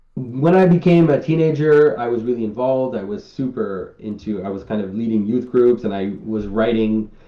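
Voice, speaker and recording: This man's medium-pitched, dark, mellow voice moves at a moderate pace with lively intonation and hardly any pauses. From Quebec, Canada. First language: French. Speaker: artist and symbolism commentator. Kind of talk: interview Q&A. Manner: halting, many repeated words.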